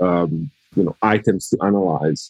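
A man speaks with an Italian accent in a dark, mellow tone at a moderate pace. The sound is dry and close, with no echo. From Italy. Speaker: law professor. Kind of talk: casual interview.

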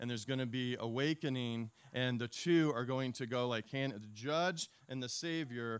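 The voice reads naturally. Ordinary pitch variation runs through it.

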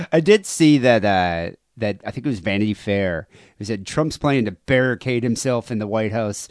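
A man with an American accent and an unremarkable speaking voice is heard with a dry, close sound and no echo over a quiet background. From United States. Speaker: podcast host. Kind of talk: casual chat. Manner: laughs often.

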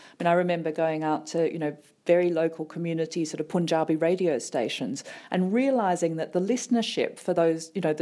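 Very fast and dark, mellow in tone, a woman's voice shows ordinary pitch variation in a very clean recording with a silent background. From Australia, Sydney. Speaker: theatre chief executive. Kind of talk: radio interview.

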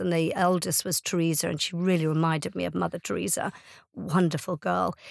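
A woman with an Irish accent, fairly low in pitch and fairly quick, in a very clean recording with a silent background. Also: dry, close sound with no echo. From Ireland. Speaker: charity founder and CEO. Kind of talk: interview.

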